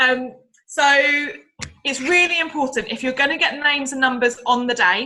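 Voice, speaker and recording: With ordinary pitch variation, the speaker uses a raised, projected voice. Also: woman, high pitch for a woman. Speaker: sales agent training colleagues. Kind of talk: training call talk. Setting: group call. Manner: fast.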